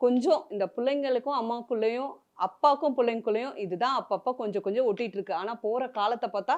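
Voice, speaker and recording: Over a quiet background, a woman speaks in a high pitch with ordinary pitch variation. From Chennai, India. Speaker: serial actress. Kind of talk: emotional interview.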